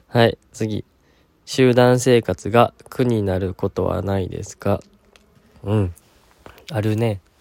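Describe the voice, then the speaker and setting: With a Kansai accent, a man speaks very slowly in a fairly low, relaxed, gentle voice with fairly even intonation and long, frequent pauses, the sound dry and close with no echo. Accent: Kansai Japanese. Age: 20s. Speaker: podcast host, university student. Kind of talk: casual solo talk, answering listener questions.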